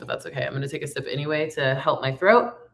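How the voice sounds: Fast and raspy, a woman speaks at a low pitch with vocal fry. Her intonation stays fairly even.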